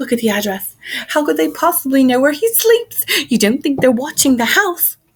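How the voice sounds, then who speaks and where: A woman uses a put-on character voice that is shaky and high-pitched, with very wide pitch swings. She speaks at a moderate pace. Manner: quivering, worried.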